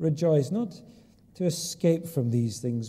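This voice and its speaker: A man speaks with a dark, mellow tone, lively intonation and a somewhat breathy quality. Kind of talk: public prayer. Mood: reverent, earnest. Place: church. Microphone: lapel.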